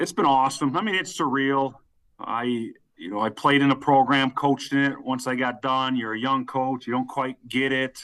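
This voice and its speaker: This man has an ordinary speaking voice, medium in pitch, and talks at a moderate pace. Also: ordinary pitch variation. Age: 30s. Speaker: college football head coach. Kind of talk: interview.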